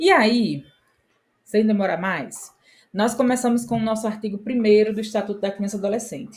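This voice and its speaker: At a moderate pace, a woman speaks with a fairly high pitch, a somewhat breathy quality and ordinary pitch variation. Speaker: exam prep teacher. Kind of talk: lecture.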